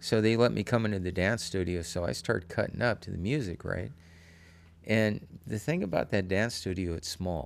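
Speaking in an American accent, a man with a fairly low pitch talks at a moderate pace. He has a plain, everyday voice, on a very clean recording with a silent background. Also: ordinary pitch variation. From Oakland, California. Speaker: boogaloo dancer. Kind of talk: casual interview.

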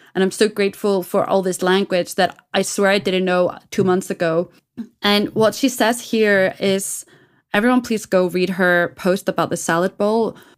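A woman with a plain, everyday voice speaks at medium pitch and a moderate pace. Her intonation is fairly even and her loudness very even. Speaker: podcast co-host. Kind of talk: casual chat. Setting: remote call.

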